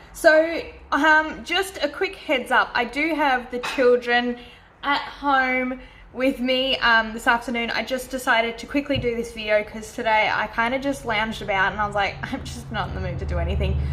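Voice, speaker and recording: A woman speaks at a moderate pace in a high voice with ordinary pitch variation, and there is noticeable background noise. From Australia. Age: 20s. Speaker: planner YouTuber. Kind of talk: casual talk to camera.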